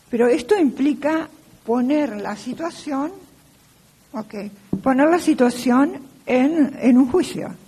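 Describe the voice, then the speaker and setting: A woman at a high pitch and a very slow pace, with ordinary pitch variation and long, frequent pauses, over noticeable background noise. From Argentina. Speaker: law professor. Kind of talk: lecture.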